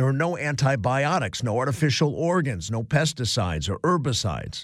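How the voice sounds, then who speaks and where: In a very clean recording with a silent background, a man with an American accent talks at a moderate pace. His medium pitch moves in very wide swings, with vocal fry. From US Midwest, Cleveland. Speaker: radio host. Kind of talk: talk radio. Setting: studio.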